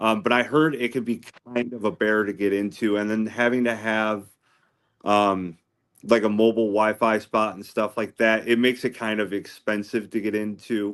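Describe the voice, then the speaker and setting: A man talks at a moderate pace in an ordinary speaking voice, fairly low in pitch and with fairly even intonation, against a quiet background. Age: 40s. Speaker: ham radio hobbyist. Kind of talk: casual chat.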